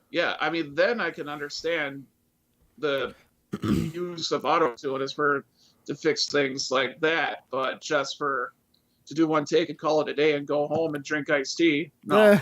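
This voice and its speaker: A man with an American accent has an unremarkable speaking voice at a fairly high pitch. He talks at a fairly slow pace with fairly even intonation. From Wisconsin. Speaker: YouTube vocal cover singer. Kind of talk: casual chat.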